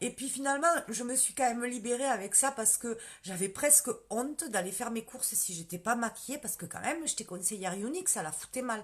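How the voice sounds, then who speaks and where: With a strong southern French accent, a woman talks at a fairly quick pace in a fairly high voice with lively intonation. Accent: strong southern French, rural. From southern France, countryside. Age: 40s. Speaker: direct sales consultant, former nurse manager. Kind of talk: live stream Q&A sales pitch. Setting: Facebook live video. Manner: casual, many fillers.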